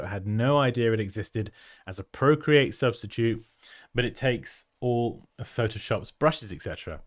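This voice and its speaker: Speaking at a medium pitch with ordinary pitch variation, a man with a British accent is heard on a very clean recording with a silent background. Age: 30s. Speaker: graphic designer and design educator. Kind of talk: livestream design review. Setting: livestream. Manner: animated.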